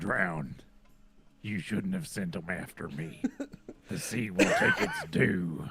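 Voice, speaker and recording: Using a put-on character voice, a man speaks at a fairly slow pace with a very deep, low pitch and long, frequent pauses. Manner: menacing, vengeful.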